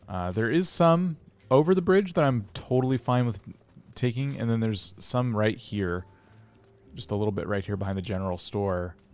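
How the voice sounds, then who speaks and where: With music in the background, a man speaks in a fairly low voice with lively intonation and long, frequent pauses. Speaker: gaming streamer. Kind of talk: live gameplay commentary. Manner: loud; hesitant, with many fillers and restarts.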